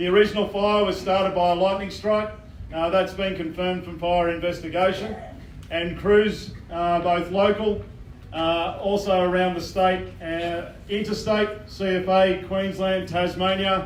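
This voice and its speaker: Audible room echo surrounds a high-pitched man with an Australian accent. He speaks at a fairly slow pace in a monotone, flat way. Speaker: fire incident controller. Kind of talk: community briefing. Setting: public meeting with audience, PA. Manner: formal, halting with fillers.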